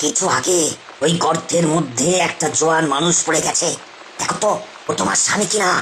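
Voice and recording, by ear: A cartoonish character voice at a middle pitch and moderate pace plays over clear background noise.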